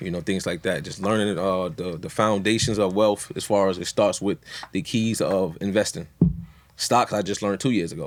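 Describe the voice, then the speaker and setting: Using a plain, everyday voice, a man speaks at a moderate pace with fairly low pitch and ordinary pitch variation. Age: 30s. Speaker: podcast guest. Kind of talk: casual chat.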